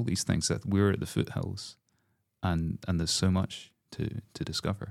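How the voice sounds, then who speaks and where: A man with a Scottish accent speaks at a very deep, low pitch. The recording is very clean with a silent background. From Scotland, Glasgow. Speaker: composer. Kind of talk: interview conversation. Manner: halting.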